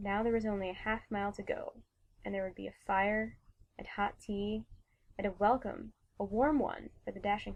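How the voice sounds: Fairly even intonation in a natural reading voice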